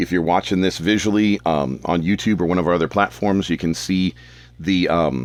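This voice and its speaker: A man with a very deep, low pitch speaks at a moderate pace, his loudness very even and his pitch variation ordinary, in a very clean recording with a silent background. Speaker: podcast host. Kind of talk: casual monologue. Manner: hesitant, many fillers.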